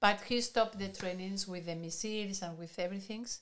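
Speaking in a Spanish accent, a woman shows ordinary pitch variation. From Spain. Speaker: podcast co-host. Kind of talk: casual discussion.

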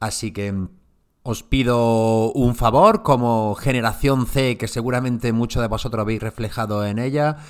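Fairly slow, fairly even speech from a man at medium pitch, on a very clean recording with a silent background. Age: 40s. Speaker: marketing podcast host. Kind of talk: solo podcast talk on marketing. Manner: hesitant, many fillers and repeats.

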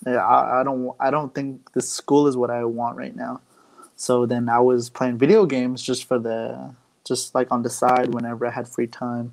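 Monotone, flat intonation marks this man's American accent. He talks at a medium pitch and a moderate pace. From Arizona, Navajo Nation. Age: 20s. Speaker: video game streamer. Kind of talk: casual interview. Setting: live-streamed podcast.

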